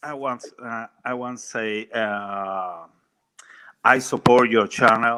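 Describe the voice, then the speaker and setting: A man with a strong Cuban accent at a medium pitch, very slow in pace, bright and sharp in tone, with fairly even intonation and big swings in loudness. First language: Spanish. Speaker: caller. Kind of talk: call-in chat. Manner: halting.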